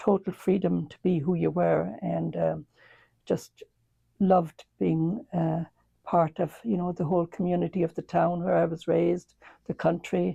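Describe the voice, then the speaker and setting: In a dry, close sound with no echo, a woman with a slight Irish accent and a dark, mellow tone speaks at a fairly low pitch and a moderate pace. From Ireland. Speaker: nun and retired school principal. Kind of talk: interview. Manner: hesitant, many fillers.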